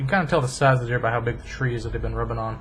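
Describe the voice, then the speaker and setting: A man with an American accent talks in a space with audible room echo. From rural US. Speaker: hunting video YouTuber. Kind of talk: casual vlog narration. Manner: casual, joking.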